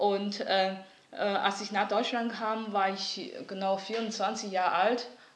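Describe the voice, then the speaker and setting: A woman speaks with a Mandarin Chinese accent at a medium pitch, with noticeable background noise and audible room echo. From northeast China, Liaoning. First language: Mandarin Chinese (speaking German). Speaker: artist. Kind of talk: interview. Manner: halting, many fillers.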